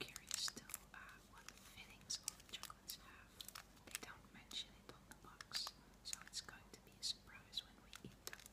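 A woman whispers. The tempo is moderate. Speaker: ASMR creator. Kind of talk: ASMR whisper video. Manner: whispered. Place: home room. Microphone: phone near.

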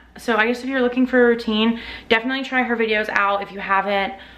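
At a very fast pace, a woman talks with a fairly high pitch and fairly even intonation. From North Carolina. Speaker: lifestyle vlogger; vlogger. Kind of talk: casual vlog talk to camera. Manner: casual, with many fillers. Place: kitchen. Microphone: phone near.

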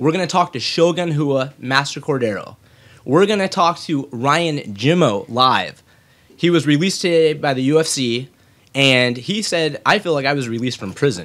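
Moderately paced speech from a man, with lively intonation. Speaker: podcast host. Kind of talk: show intro announcement. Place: home room.

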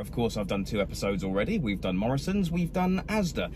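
A man with very wide pitch swings, over light background noise. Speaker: food vlogger. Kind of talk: casual vlog chat. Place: car. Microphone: phone near.

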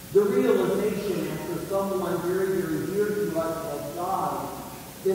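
A man speaks at a fairly slow pace in a high pitch. There is strong room echo and light background noise. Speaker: priest. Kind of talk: homily at Easter Mass. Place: church.

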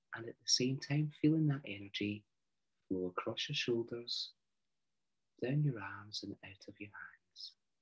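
Over a quiet background, a somewhat breathy man talks at a fairly slow pace with long, frequent pauses. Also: medium pitch for a man, ordinary pitch variation. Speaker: meditation guide. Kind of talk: guided meditation. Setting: online video. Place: home room. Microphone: video call.

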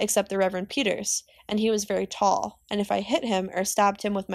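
Reading aloud in a natural voice is what the speaker does here.

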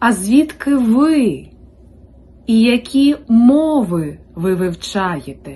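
A somewhat breathy woman's voice with very wide pitch swings. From Ukraine, Rivne region. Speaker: Ukrainian language teacher. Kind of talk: language-learning listening practice. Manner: slow.

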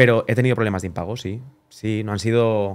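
In a quiet background, a man speaks at a fairly quick pace with a fairly low pitch and fairly even intonation. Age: 20s. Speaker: wedding photographer; podcast guest. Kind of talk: casual chat. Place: studio. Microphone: studio mic.

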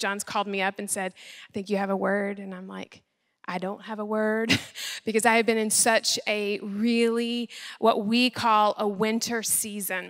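A woman speaks against a quiet background. Her intonation stays flat and monotone. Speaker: speaker. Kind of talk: sermon. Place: church. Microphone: handheld.

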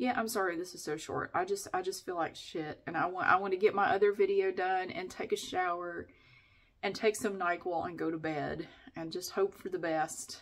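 The background stays quiet. A woman speaks at a moderate pace, her pitch variation ordinary. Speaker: vlogger. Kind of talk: casual vlog chat. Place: bathroom. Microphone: phone near.

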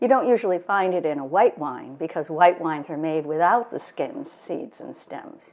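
A woman talks here. She keeps a moderate pace. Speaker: wine educator host. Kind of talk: tutorial. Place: kitchen.

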